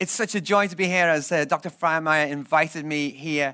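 With a Liverpool accent, a man speaks at a moderate pace, his tone clear and smooth as well as bright and sharp, with ordinary pitch variation. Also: fairly high pitch for a man.

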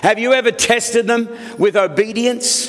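Over noticeable background noise, a man with an Australian accent speaks at a high pitch. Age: 70s. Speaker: senior pastor. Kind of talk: sermon.

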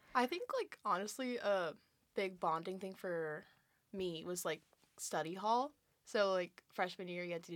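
A woman speaks in a normal speaking voice at a medium pitch. Her pace is moderate, with ordinary pitch variation. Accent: American. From California. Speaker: college athlete. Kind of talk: casual chat.

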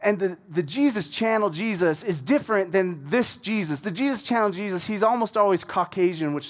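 A passage is read aloud in a natural voice. Pitch moves up and down in an ordinary way.

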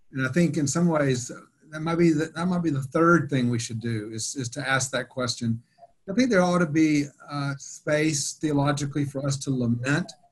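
Using a plain, everyday voice, a man speaks at a moderate pace with ordinary pitch variation. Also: fairly high pitch for a man. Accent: American. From US South, Atlanta. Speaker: theology professor. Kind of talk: panel discussion.

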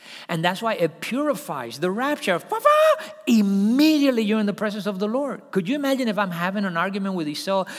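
Speaking at a fairly quick pace with hardly any pauses, the voice has lively intonation against noticeable background noise. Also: man, high pitch for a man. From Cuba. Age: 60s. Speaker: pastor. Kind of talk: sermon. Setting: church.

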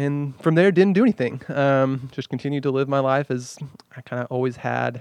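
A man with an American accent and an ordinary speaking voice, medium pitch, ordinary pitch variation and a moderate pace. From Wichita Falls, Texas. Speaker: pastor. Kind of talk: casual chat.

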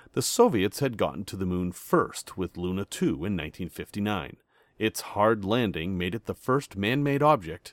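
A normal speaking voice moves at a moderate pace with lively intonation. The sound is dry and close with no echo, on a very clean recording with a silent background. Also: man. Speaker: podcast host. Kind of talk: history documentary narration. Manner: measured, clear, authoritative storyteller pace.

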